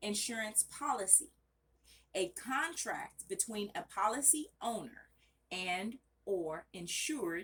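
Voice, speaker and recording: A woman's fairly high voice with very wide pitch swings. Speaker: study channel vlogger. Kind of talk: reading aloud study notes. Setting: bedroom at home, off camera. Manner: loud; casual, self-correcting.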